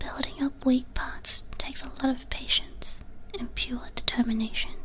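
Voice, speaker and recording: Clear background noise accompanies a woman whispering at a medium pace. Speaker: vtuber, ASMR streamer. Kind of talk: ASMR whispered reading of copypasta. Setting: binaural ASMR microphone. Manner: whispered, soft.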